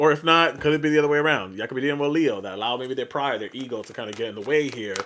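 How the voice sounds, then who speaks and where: A man's pitch varies in an ordinary way while noticeable background noise carries on. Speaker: tarot reader. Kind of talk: live stream tarot reading. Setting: live stream on social media. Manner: animated; loud.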